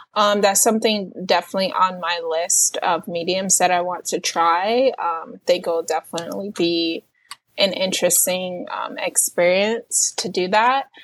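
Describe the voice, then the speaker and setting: A woman with a plain, everyday voice speaks at a fairly slow pace, with medium pitch and ordinary pitch variation. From New York City, Puerto Rican roots. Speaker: self-taught painter. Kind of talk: casual interview.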